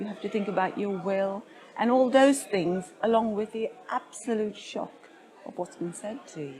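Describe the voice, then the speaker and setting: A woman with a British accent speaks at a moderate pace, her fairly high pitch moving with ordinary variation. Her loudness swings widely over crowd noise in the background. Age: 60s. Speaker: patient advocate. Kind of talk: interview. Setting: conference.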